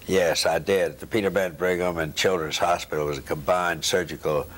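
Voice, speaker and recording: Speaking at a moderate pace with a Southern US accent, the man has a very deep, low pitch and fairly even intonation. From US South, Knoxville, Tennessee. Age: 80s+. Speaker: retired neurosurgeon and professor. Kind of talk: oral history interview. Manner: halting. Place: home room. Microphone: lapel.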